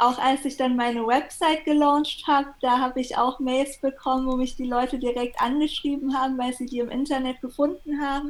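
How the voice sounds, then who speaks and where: With noticeable background noise behind her, a woman talks at a moderate pace in a high, flat, monotone voice, with hardly any pauses. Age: 30s. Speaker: copywriter and PR consultant. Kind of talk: interview.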